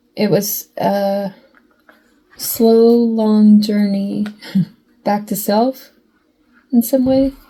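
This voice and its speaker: A woman's somewhat breathy, dark and mellow voice, fairly high in pitch, very slow, with fairly even intonation and long, frequent pauses. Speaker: tarot reader. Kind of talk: tarot reading monologue. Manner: choppy with weird pauses; halting, self-interrupting.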